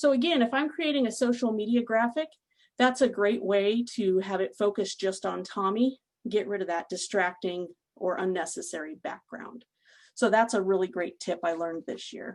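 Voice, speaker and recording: A woman's voice at medium pitch with lively intonation. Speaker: food safety extension specialist giving a webinar. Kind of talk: webinar presentation. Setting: online webinar. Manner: fast.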